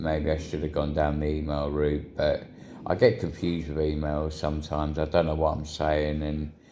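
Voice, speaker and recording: The voice has a dark, mellow tone. Its intonation is monotone and flat. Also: man. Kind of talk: casual talk to camera.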